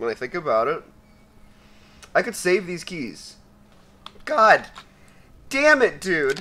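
A high-pitched man in a raised, projected voice, bright and sharp in tone, speaks very slowly with long, frequent pauses, very wide pitch swings and big swings in loudness. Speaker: gaming youtuber. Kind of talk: casual gaming commentary. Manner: animated.

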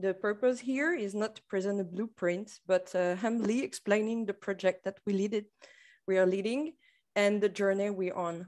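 A French accent at a moderate pace, with ordinary pitch variation over a quiet background. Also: woman, medium pitch for a woman. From France. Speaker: tourism marketing manager. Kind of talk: conference presentation. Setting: video call. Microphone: video call.

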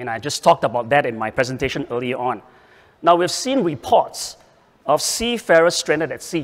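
Speaking at a fairly quick pace, a man with a fairly high pitch has an unremarkable speaking voice. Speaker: panel moderator, shipping association executive. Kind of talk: moderated panel discussion. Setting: stage with audience. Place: hall. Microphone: handheld.

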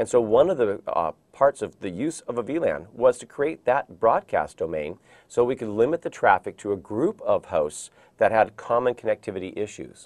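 Against a quiet background, a man with vocal fry talks at a moderate pace, his pitch swinging very widely and his loudness shifting a lot. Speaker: IT training instructor. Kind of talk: lecture. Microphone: lapel.

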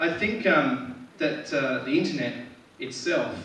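A man with an Australian accent speaks at a fairly slow pace. Light background noise and audible room echo are present. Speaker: stand-up comedian. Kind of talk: stand-up comedy set. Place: stage.

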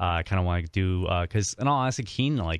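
An American man with a very deep, low pitch, at a fairly quick pace, in a dry, close sound with no echo and a quiet background. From Illinois. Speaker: political activist and radio guest. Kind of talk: casual interview. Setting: studio. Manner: hesitant, many fillers.

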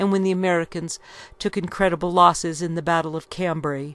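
In a dry sound with no echo, a woman uses a normal speaking voice at a fairly low pitch. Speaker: history reader. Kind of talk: reading aloud from a book. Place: home room. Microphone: studio mic.

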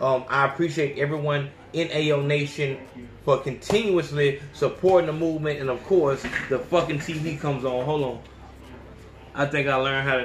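A man with a fairly high pitch and fairly even intonation at a moderate pace, with audible room echo and light background noise. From Alabama. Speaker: podcast host. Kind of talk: angry rant. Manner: loud, fired-up, profane; repetitive, emphatic.

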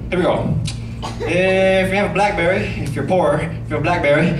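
Noticeable background noise accompanies a man's speech. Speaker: stand-up comedian. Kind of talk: stand-up comedy set. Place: stage.

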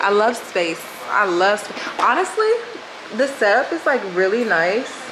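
A woman with an American accent speaks at a fairly slow pace in an animated tone with lively intonation, over noticeable background noise. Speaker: college student vlogger. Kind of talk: casual vlog chat. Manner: animated, chatty. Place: home room. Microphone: phone near.

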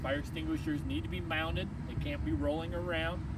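Against loud background noise, a man speaks at a moderate pace with ordinary pitch variation in a dry sound with no echo. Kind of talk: tutorial. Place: street. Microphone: camera far.

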